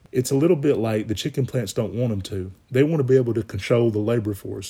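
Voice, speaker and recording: In a very clean recording with a silent background, a somewhat breathy man with an American accent and a dark, mellow tone speaks very fast with fairly even intonation. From US South, north Alabama (Marshall County). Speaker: podcast host. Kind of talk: solo monologue podcast.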